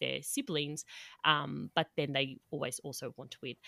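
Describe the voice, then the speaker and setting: A woman with an Australian accent and a bright, sharp tone, moderate pace and ordinary pitch variation, in a dry, close sound with no echo on a very clean recording with a silent background. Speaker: podcast host, dietitian. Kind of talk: casual chat, podcast crossover conversation.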